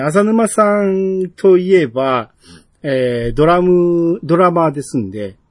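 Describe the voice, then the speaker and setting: A man's high pitch with very wide pitch swings, in a Kansai accent, at a very slow pace. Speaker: podcast host. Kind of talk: casual chat.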